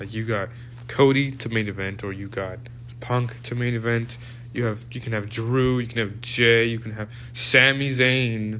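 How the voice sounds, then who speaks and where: With noticeable background noise and audible room echo, a man of medium pitch speaks at a moderate pace in a monotone, flat intonation. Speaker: wrestling show reviewer. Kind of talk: casual solo review monologue. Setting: recorded at workplace. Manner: halting, many restarts and fillers.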